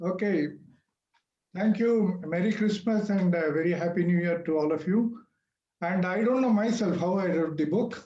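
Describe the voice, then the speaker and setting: This man has a high pitch and a dark, mellow tone. He speaks at a moderate pace. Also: ordinary pitch variation, very even loudness. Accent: Indian. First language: not English. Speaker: author. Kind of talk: speech at book launch.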